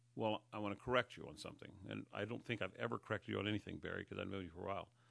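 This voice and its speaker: In an American accent, the speaker shows vocal fry and ordinary pitch variation. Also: man. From Northern California, Humboldt County. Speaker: county sheriff. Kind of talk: interview. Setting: studio.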